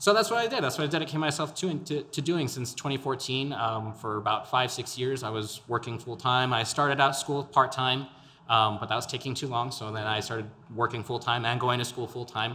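A man with an American accent at medium pitch, bright and sharp in tone, with ordinary pitch variation and a fairly quick pace. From El Paso, Texas. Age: 20s. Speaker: podcaster and local political candidate. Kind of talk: interview. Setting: studio.

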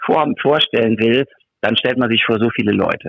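Speaking at a medium pitch with ordinary pitch variation, a man keeps a moderate pace. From Germany. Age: 50s. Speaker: textile factory executive. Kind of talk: interview. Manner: animated.

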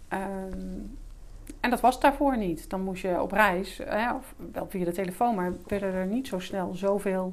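A woman with a normal speaking voice talks at medium pitch and a moderate pace, with ordinary pitch variation. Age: 50s. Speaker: business English teacher and entrepreneur. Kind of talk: interview.

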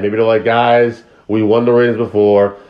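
A man with a plain, everyday voice, medium pitch and a moderate pace. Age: 40s. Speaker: podcast co-host, wrestling fan. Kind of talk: casual chat.

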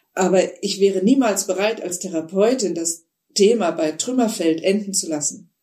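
Dark and mellow in tone, a woman at medium pitch talks at a moderate pace with ordinary pitch variation. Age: 60s. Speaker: psychotherapist and author. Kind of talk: interview.

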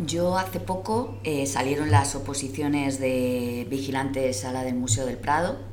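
A woman speaks fairly slowly with ordinary pitch variation, her voice carrying audible room echo over noticeable background noise. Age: 40s. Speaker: civil service exam candidate. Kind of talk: casual group chat.

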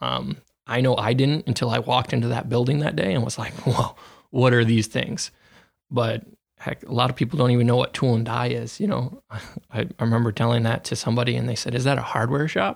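On a very clean recording with a silent background, a man of medium pitch talks at a fairly quick pace with vocal fry and ordinary pitch variation. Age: 20s. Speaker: manufacturing field technician. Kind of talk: interview.

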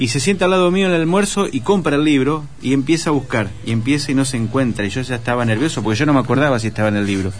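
The speech is very fast, with hardly any pauses and lively intonation. Music plays in the background, and the room echo is audible. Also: man, medium pitch for a man. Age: 40s. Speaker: writer and journalist. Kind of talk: radio interview.

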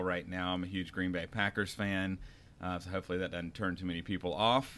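A man with a fairly low pitch and a North Carolina accent. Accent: Southern US (North Carolina). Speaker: podcast co-host, restaurant owner-operator. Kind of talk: casual chat.

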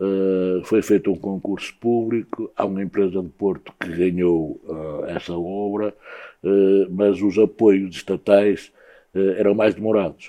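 At a fairly slow pace, a man speaks in a monotone, flat manner at a fairly low pitch. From northern Portugal, Guimarães. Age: 60s. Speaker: former handball player and sports club director. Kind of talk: interview. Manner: halting, many repetitions.

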